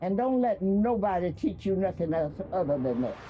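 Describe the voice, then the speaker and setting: Someone with a Texas accent speaks at a fairly slow pace while music plays in the background. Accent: Southern US, Texas. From Austin, Texas area. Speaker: community elder, oral history storyteller. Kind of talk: oral history conversation on stage.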